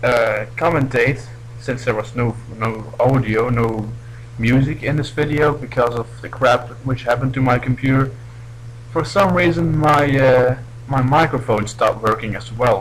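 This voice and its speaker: A man's medium-pitched voice keeps fairly even intonation while noticeable background noise sounds behind it. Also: moderate pace. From Belgium. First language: not English. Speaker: gaming commentator. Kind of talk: gameplay commentary. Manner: halting.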